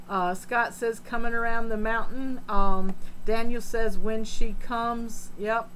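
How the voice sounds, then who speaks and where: A woman speaks in a flat monotone. Audible room echo surrounds her voice. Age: 60s. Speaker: aquarium hobbyist live streamer. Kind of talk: live stream chat, reading comments. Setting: home fish room.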